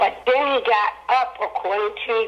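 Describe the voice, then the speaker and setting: A woman with an American accent at a very slow pace. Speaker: guest, mother of a man who died in police custody. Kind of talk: emotional interview answer on a radio show.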